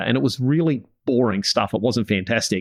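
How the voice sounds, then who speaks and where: A man speaks with an Australian accent. The sound is dry and close with no echo, over a quiet background. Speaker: podcast host and business coach for farming families. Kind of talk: podcast interview.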